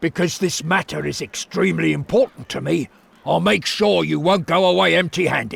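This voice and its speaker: A man does a raspy put-on character voice at a fairly high pitch and moderate pace, with a dry, close sound and no echo. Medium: video game. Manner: eager, earnest.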